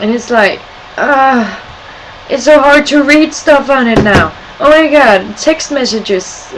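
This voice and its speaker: With a Scandinavian accent and lively intonation, a high-pitched woman speaks at a very slow pace over noticeable background noise. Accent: weird accent, Scandinavian. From Sweden and Denmark. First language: Swedish or Danish. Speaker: video blogger. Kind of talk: casual webcam vlog. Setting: webcam at home. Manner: animated.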